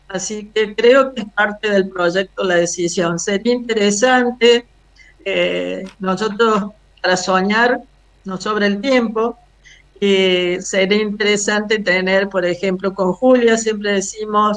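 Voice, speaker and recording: Intonation stays fairly even throughout. The woman talks at a very slow pace. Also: medium pitch for a woman. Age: 70s. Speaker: retired housing finance manager, activist. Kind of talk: video call presentation. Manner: hesitant, many fillers.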